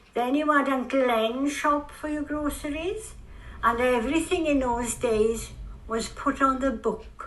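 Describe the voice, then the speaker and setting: Fairly slow, lively-intoned speech in a South Wales accent. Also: woman, high pitch for a woman. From Bryn, Port Talbot, Wales. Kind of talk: interview answer.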